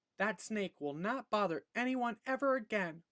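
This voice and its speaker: This is a female-sounding, put-on character voice. It sits at a fairly high pitch. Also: moderate pace. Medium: read story. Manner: demanding.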